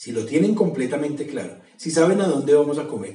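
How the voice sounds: With audible room echo, a man talks at a fairly quick pace in a fairly high voice that has a dark, mellow tone and lively intonation.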